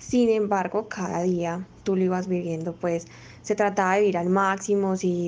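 At a fairly slow pace, the voice carries a dark, mellow tone and fairly even intonation. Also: woman. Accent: Antioquian. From Colombia, Medellín. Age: 20s. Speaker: physiotherapist and new mother. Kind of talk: interview testimony.

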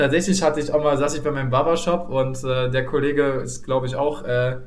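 A man's medium-pitched voice at a fairly quick pace, fairly even in intonation, with noticeable background noise and audible room echo. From Saxony, eastern Germany. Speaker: podcast host. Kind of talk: casual chat.

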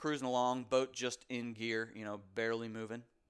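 An unremarkable speaking voice from a man with an American accent, medium in pitch, at a moderate pace, in a very clean recording with a silent background. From US South, North Carolina (Raleigh). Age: 30s. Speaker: podcast host, adaptive athlete. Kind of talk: solo monologue, casual. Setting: home office.

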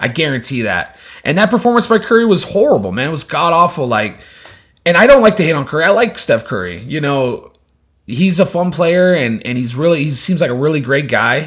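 Fairly high in pitch with vocal fry, a man talks at a fairly quick pace. His tone is animated, with very wide pitch swings. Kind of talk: casual chat. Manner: animated, casual.

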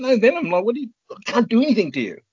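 At a very fast pace, a man talks with an Australian accent. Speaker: former competitive paintball player. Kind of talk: interview. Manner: halting.

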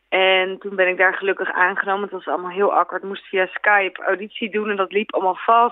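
Medium pitch from a woman speaking. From Netherlands. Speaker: singer. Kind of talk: interview. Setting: phone call.

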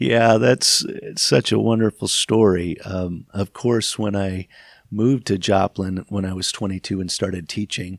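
An unremarkable speaking voice from a man with an American accent, fairly low in pitch with ordinary pitch variation, at a fairly slow pace, in a very clean recording with a silent background and a dry, close sound with no echo. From US, Michigan then California. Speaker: church leader, bishop. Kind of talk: interview, personal life story. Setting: office.

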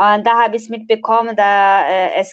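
A woman at a fairly slow pace, with a dry, close sound and no echo. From Nepal. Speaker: international student. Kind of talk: casual interview. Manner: halting, many fillers.

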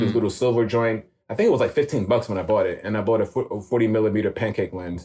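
In a very clean recording with a silent background, a man with a New York accent speaks very fast. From New York (Queens). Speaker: street photographer. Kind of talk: casual interview chat.

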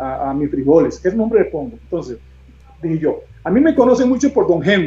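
A man's voice comes through at a fairly brisk clip. Behind him, music is playing. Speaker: hospital chaplain and bean seller. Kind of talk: interview on a live video stream. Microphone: unstable internet connection.

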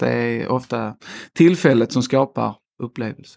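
The recording is very clean with a silent background, and the sound is dry and close with no echo. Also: man. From Skåne, southern Sweden. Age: 30s. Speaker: slaughterhouse company executive. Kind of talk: interview. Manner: hesitant, many fillers.

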